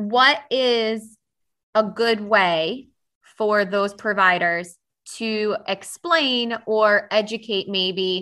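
Over a quiet background, a woman speaks at a very slow pace in a bright, sharp tone. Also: fairly high pitch for a woman, ordinary pitch variation. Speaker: podcast host and myofunctional therapist. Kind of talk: interview. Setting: at home.

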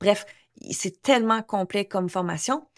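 Her pitch varies in an ordinary way as a woman speaks. The recording is very clean, with a silent background. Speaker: English coach and podcast host. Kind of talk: casual monologue podcast; sales pitch. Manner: animated.

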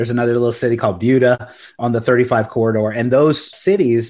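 Recorded very cleanly against a silent background, a man with an American accent speaks at a moderate pace in a medium pitch. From Corpus Christi, Texas. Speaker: commercial real estate broker. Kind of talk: interview. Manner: casual, energetic.

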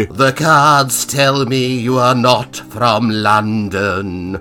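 Clear music plays in the background as a man, medium in pitch, uses a put-on character voice at a very slow pace. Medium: read story. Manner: solemn, intoning, then awestruck.

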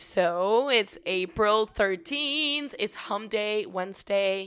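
The tone is fairly bright, clear and smooth. The pace is slow, and the intonation is lively. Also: woman, medium pitch for a woman.

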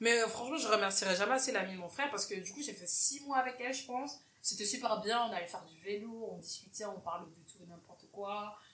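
Very fast and animated, the speech runs with hardly any pauses, big swings in loudness and ordinary pitch variation, over noticeable background noise and audible room echo. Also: woman, fairly high pitch for a woman. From Cameroon. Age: 20s. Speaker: podcast host. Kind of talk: casual interview chat. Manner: animated, laughing often.

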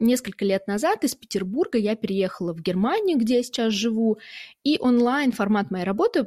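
A woman with a fairly high pitch and a dark, mellow tone speaks somewhat breathily, with lively intonation. Her moderate pace comes through dry and close with no echo against a quiet background. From Russia, Saint Petersburg. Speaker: podcast host, entrepreneur coach. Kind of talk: solo podcast monologue.

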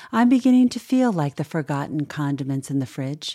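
Here is a woman with an ordinary speaking voice and lively intonation. The recording is very clean, with a silent background. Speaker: small-town news reading host. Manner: gentle, unhurried storytelling with warm wry humor; quiet, reflective, tender tone over mortality and friendship.

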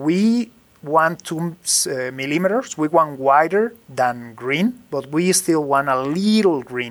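A fairly high-pitched man with a Spanish accent and lively intonation, very slow, on a very clean recording with a silent background. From Mexico, Jalisco. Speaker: master distiller. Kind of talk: interview. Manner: halting.

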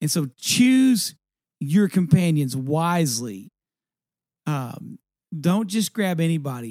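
A man with an American accent speaks at a very slow pace with long, frequent pauses, his fairly high pitch swinging very widely and his tone dark and mellow. The recording is very clean with a silent background and a dry, close sound without echo. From East Texas. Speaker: podcast co-host. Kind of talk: casual chat.

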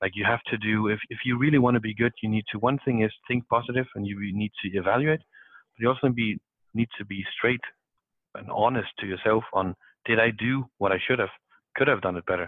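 With a Danish accent, a man speaks at a medium pitch and a fairly quick pace. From South Denmark. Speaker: salesperson. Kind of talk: casual chat.

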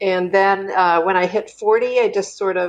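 A woman with a Canadian accent speaks at a fairly slow pace in an unremarkable speaking voice of medium pitch. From Canada, Kingston, Ontario. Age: 50s. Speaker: artist and intuitive reader. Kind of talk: interview conversation.

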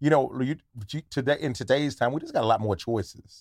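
In a very clean recording with a silent background, a man with a normal speaking voice talks at a moderate pace and medium pitch. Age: 40s. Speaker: comedian and podcaster. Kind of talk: casual chat.

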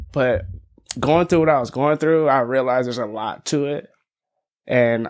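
With an American accent, a man talks in an unremarkable speaking voice of medium pitch and ordinary variation against a quiet background. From Las Vegas and California. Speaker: recording artist. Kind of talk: casual chat.

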